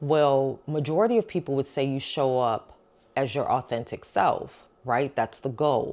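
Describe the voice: A woman speaks at an extremely low pitch and a fairly slow pace, with ordinary pitch variation and a slightly mellow tone. The recording is very clean, with a silent background.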